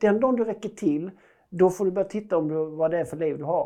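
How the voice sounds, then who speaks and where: The delivery comes at a very fast pace. The tone is dark and mellow. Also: man. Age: 40s. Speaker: parenting coach and speaker. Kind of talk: casual interview conversation.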